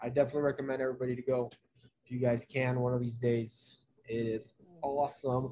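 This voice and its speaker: A man talks at a very fast pace in a flat, monotone intonation. His tone is dark and mellow, and somewhat breathy. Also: medium pitch for a man. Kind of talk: casual chat.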